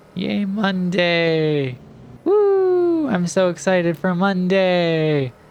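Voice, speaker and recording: Noticeable background noise fills the clip. Through it comes a man's voice. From New York State, US. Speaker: gaming commentator, also assistant language teacher. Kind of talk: casual gameplay commentary. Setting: voiceover recorded in post. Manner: halting, many fillers.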